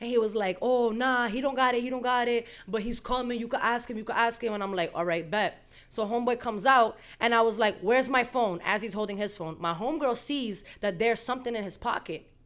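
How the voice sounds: A woman speaks at a fairly quick pace with a fairly high pitch and a fairly bright tone. Her pitch varies in an ordinary way, and the recording is very clean with a silent background.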